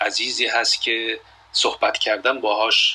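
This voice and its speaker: A man at a fairly slow pace, over noticeable background noise. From Iran. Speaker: journalist. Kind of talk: casual chat.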